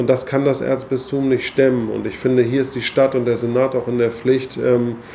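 Noticeable background noise behind a man's medium-pitched voice, monotone and flat, at a moderate pace. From Hamburg, northern Germany. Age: 40s. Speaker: politician. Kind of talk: interview.

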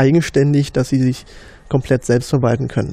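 With an East Berlin accent, a man speaks in a dark, mellow tone at a fairly high pitch, his intonation monotone and flat. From East Berlin, Marzahn. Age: 30s. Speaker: Wikipedia volunteer administrator. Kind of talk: casual interview. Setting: office room. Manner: hesitant, many fillers.

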